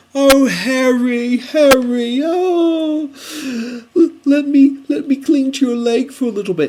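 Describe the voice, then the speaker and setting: This put-on character voice is high-pitched and whiny and moves at a very slow pace. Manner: fawning, whiny.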